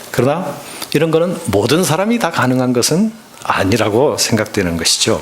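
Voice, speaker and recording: A man's fairly high voice with very wide pitch swings, very even loudness and a moderate pace, plus audible room echo and noticeable background noise. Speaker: pastor. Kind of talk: sermon.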